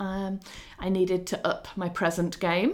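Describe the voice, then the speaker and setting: A woman with an English accent, medium pitch, and a fairly slow pace. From England. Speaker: children's author. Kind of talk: interview. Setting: video call.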